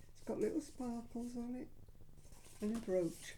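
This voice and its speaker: With audible room echo, a woman talks at a very slow pace in a dark, mellow tone. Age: 80s+. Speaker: vlogger. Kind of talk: casual chat.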